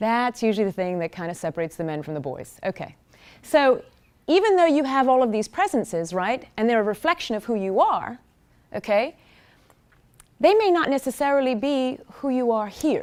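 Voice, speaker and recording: The tone is animated and loud. Pitch swings very widely throughout. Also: woman, high pitch for a woman, moderate pace, very clean recording, silent background. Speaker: digital marketing executive. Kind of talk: conference talk. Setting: stage with audience.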